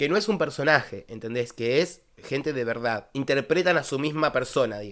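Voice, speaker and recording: Speaking in a Rioplatense accent with hardly any pauses, the voice comes through on a very clean recording with a silent background. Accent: Argentine Rioplatense Spanish. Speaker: vocal coach reacting to music videos. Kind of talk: casual reaction video talk. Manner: fast.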